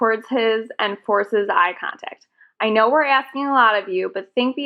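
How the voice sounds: The speaker uses a natural reading voice with ordinary pitch variation. The background is quiet.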